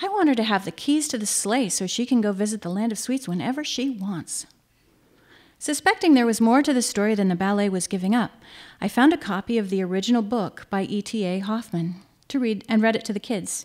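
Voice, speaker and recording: With ordinary pitch variation, a woman speaks rather quickly. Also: quiet background. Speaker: essay reader at a live show. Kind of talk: humorous personal essay reading. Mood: wry, dry humor. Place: stage. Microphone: podium.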